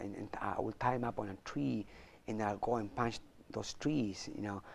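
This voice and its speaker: Lively in intonation and moderate in pace, a man with a Spanish accent speaks at a fairly low pitch. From Chile. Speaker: martial arts champion and motivational speaker. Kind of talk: interview.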